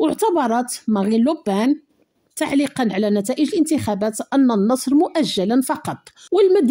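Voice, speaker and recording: Over a quiet background, a woman speaks in a high pitch with a Moroccan accent. Her dark, mellow tone moves through very wide pitch swings. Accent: Moroccan Darija. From Morocco. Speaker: news commentary YouTuber. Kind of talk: news commentary. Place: home room. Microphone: studio mic.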